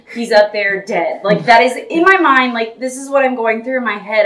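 A woman speaks in a raised, projected voice at a moderate pace. Noticeable background noise can be heard. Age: 40s. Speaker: podcast co-host. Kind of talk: casual family chat.

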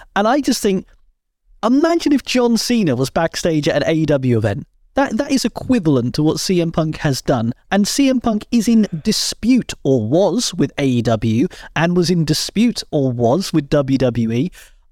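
At a fairly slow pace, a man with a British accent speaks in a high pitch that swings very widely, his loudness very even and the sound dry and close with no echo. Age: 30s. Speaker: wrestling podcast host. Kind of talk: casual chat.

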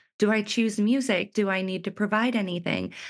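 A woman with an unremarkable speaking voice talks at a moderate pace and medium pitch against a quiet background. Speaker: wedding filmmaker. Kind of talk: casual interview chat.

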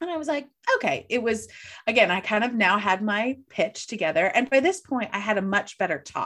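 At a fairly quick pace, a woman with a Midwestern American accent speaks in very wide pitch swings. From US Midwest, St. Louis. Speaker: coach and keynote speaker. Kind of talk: casual interview.

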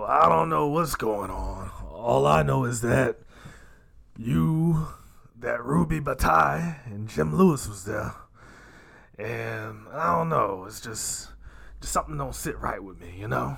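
A man's put-on, raspy character voice at a medium pitch and fairly slow pace, with very wide pitch swings. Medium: actual play. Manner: folksy, drawling, conspiratorial.

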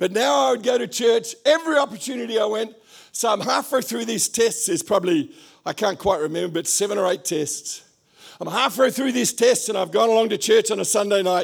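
This man talks fairly quickly in an Australian accent. His pitch is high and his intonation lively. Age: 70s. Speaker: pastor. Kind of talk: sermon. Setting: church.

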